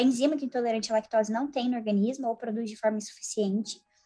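This woman's voice sits at a high pitch. Her pitch varies in an ordinary way. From Brazil. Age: 20s. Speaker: young scientist and psychology student. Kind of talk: casual interview.

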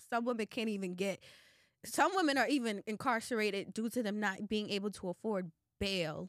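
With an American accent and a plain, everyday voice, a woman talks at a fairly quick pace and a fairly high pitch, and the sound is dry and close with no echo. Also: ordinary pitch variation. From Boston, Massachusetts (Roxbury). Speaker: nonprofit advocate for incarcerated women. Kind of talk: interview conversation.

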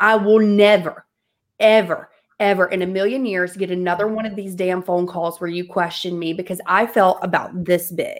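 A woman's animated, medium-pitched voice at a moderate pace, with a Southern US accent. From US South. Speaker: entrepreneur and coach. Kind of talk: casual interview chat.

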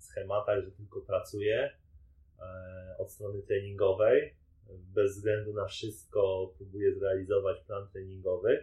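A man speaks at a very slow pace. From Poland, Częstochowa. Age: 20s. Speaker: professional triathlete. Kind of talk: interview.

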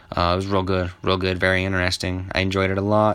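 A man with an American accent amid noticeable background noise. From US Southwest, Albuquerque, New Mexico. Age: 20s. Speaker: MMA podcaster. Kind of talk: casual solo commentary. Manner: casual, profanity-laced.

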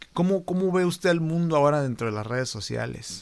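Lively intonation marks this man's plain, everyday voice, pitched fairly high. He speaks at a moderate pace on a very clean recording with a silent background. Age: 30s. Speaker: podcast host. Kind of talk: casual interview.

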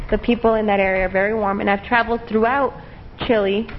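A woman has an ordinary speaking voice at a medium pitch, in an American accent. Her intonation stays fairly even. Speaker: English teacher. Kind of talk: interview.

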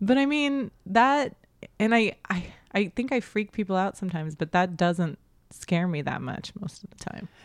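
With an American accent, a woman uses a plain, everyday voice at a medium pitch, speaking at a moderate pace with lively intonation. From Oklahoma. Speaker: stand-up comedian. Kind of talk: casual chat.

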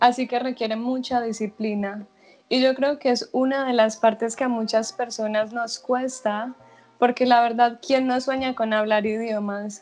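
A woman's fairly high voice, monotone and flat in intonation, at a fairly slow pace. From Colombia, Medellín (Antioquia). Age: 20s. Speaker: language teacher. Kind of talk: casual interview.

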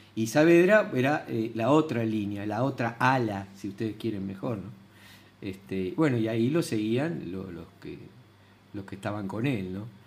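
Talking at a fairly slow pace, a man with a medium pitch uses lively intonation, and his loudness swings widely. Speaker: retired history teacher. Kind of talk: casual chat. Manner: halting.

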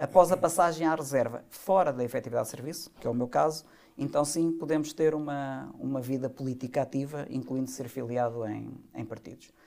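Pitched in the medium range, a man's dark, mellow voice moves at a fairly quick pace with ordinary pitch variation. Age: 50s. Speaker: retired army colonel and party leadership candidate. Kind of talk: podcast interview.

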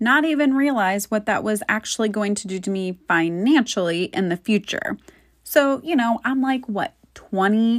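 A woman with an American accent speaks at a fairly high pitch and a moderate pace, with lively intonation, in a normal speaking voice. The recording is very clean, with a silent background. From Florida. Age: 30s. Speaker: podcast host. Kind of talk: personal monologue.

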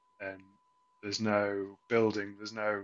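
A man with an English accent talks at a moderate pace with a fairly low pitch. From England. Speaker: football podcast co-host. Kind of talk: casual chat. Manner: halting.

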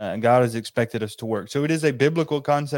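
A man speaks in an ordinary speaking voice at medium pitch with ordinary pitch variation, and the sound is dry and close with no echo. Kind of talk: casual Bible study discussion. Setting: video call.

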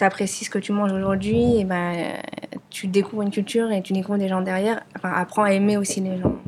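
Over noticeable background noise, the speaker goes at a very fast pace with fairly even intonation. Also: woman, medium pitch for a woman. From France, of Vietnamese parents. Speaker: restaurant owner. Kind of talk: casual interview conversation. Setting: studio, filmed podcast.

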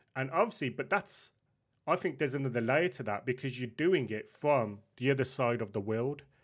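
Over a silent background in a very clean recording, a man with medium pitch talks fairly quickly in an ordinary speaking voice. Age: 30s. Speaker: podcast host. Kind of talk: casual interview chat.

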